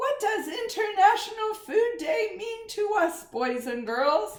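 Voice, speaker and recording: Putting on a squeaky character voice, a woman speaks at an extremely high pitch, raised and projected, with very wide pitch swings at a fairly slow pace. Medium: read story.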